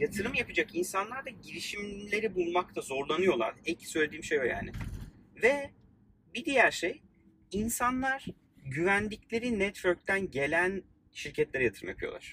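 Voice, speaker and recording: This man's voice is high-pitched, raised, and projected. His intonation is lively and his pace moderate. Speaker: podcast host and startup founder. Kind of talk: casual chat. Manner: informal, friendly.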